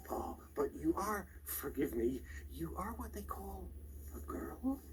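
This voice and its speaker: Clear background noise surrounds a man doing a put-on character voice. He speaks at a fairly slow pace. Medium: audio drama. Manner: polite, hesitant, fussy.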